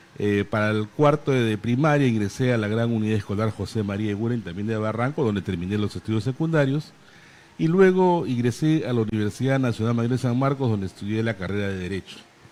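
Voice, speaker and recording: A man speaks at a very fast pace and medium pitch. His pitch varies in an ordinary way. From Peru, Lima. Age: 60s. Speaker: lawyer and Senate candidate. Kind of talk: interview. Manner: hesitant with fillers.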